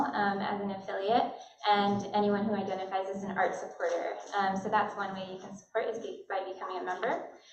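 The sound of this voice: At a fairly quick pace, the voice carries a slightly mellow tone with audible room echo. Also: woman.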